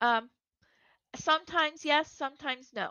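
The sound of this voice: A woman's high, bright, sharp voice at a fairly slow pace, with ordinary pitch variation. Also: dry, close sound with no echo.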